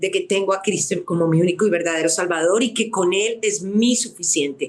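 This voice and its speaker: A woman's medium-pitched voice at a moderate pace. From Colombia. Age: 60s. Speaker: radio producer and author. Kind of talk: testimony. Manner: emphatic.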